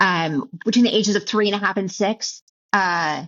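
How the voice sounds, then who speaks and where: The woman's intonation is lively, and her pace is moderate. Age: 50s. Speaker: keynote speaker and author. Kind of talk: interview testimony. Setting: recorded interview show. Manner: halting.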